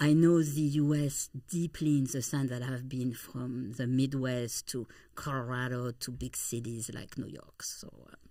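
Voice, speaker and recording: Fairly even intonation accompanies delivery that is fairly slow. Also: woman. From eastern France, near Swiss border. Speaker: travel company founder. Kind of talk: interview.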